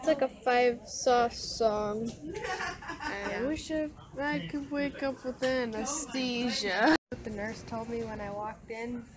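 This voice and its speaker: A woman's very slow speech against noticeable background noise. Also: ordinary pitch variation. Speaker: vlogger. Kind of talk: casual vlog chat.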